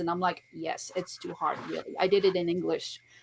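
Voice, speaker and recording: Here a woman speaks in a French accent. Her pace is fairly quick. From France. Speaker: author and poet. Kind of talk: interview.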